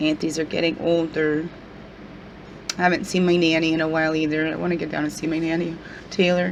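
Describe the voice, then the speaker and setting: A woman talks very fast in a fairly low, monotone, flat voice with long, frequent pauses, amid audible room echo and noticeable background noise. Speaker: spiritual guidance vlogger. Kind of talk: casual video vlog.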